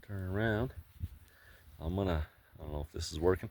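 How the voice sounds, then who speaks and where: Noticeable background noise is present. Through it comes a man's voice. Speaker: homesteader vlogger. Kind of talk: casual video tour. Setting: outdoors. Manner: hesitant, many fillers. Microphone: poor audio.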